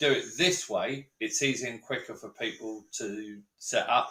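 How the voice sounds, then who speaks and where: A man with a London accent, a bright, sharp tone and a fairly slow pace. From East London, England. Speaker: science educator. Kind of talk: live stream demo. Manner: animated.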